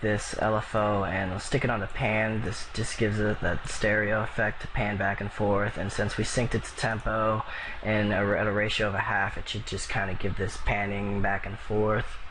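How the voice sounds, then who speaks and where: Speech runs at a moderate pace with hardly any pauses and a monotone, flat intonation. Room echo is audible, and background noise is noticeable. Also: man, fairly low pitch for a man. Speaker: music producer. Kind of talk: tutorial. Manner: halting.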